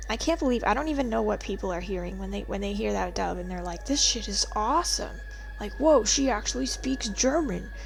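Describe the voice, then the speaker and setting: A woman talks at a fairly quick pace. Room echo can be heard. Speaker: video game streamer. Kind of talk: casual live-stream chat. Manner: animated.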